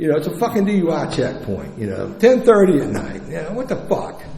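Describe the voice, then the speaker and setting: A man with a high-pitched voice at a fairly quick pace, against noticeable background noise. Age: 60s. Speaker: recovering addict sharing story at recovery meeting. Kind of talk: testimony. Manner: animated.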